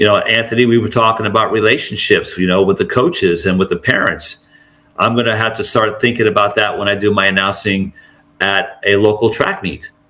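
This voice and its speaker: Fairly quick, fairly low speech from a man with fairly even intonation over noticeable background noise. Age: 60s. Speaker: track and field announcer. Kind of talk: podcast interview.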